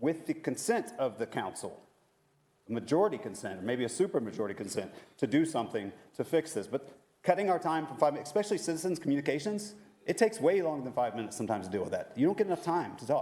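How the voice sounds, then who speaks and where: Talking very fast, a man with a fairly high pitch and a dark, mellow tone swings his pitch very widely and shows vocal fry. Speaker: citizen speaker at public comment. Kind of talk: public comment at council meeting. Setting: city council meeting.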